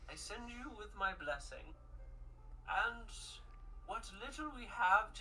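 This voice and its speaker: Using a put-on character voice, a woman speaks at a fairly slow pace with long, frequent pauses over clear background noise. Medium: actual play.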